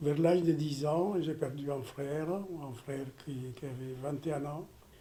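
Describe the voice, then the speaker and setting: Over noticeable background noise and audible room echo, a man speaks slowly-ish at a fairly high pitch with fairly even intonation. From Ethiopia, rural mountains. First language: Amharic or other Ethiopian language (speaking French). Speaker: surgeon. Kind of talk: personal testimony. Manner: halting, with repetitions.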